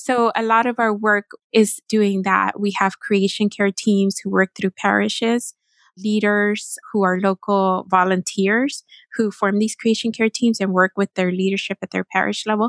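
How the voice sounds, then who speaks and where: On a very clean recording with a silent background, a woman with an American accent speaks at medium pitch in a monotone, flat delivery. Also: moderate pace. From Texas. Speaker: nonprofit communications director. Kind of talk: interview.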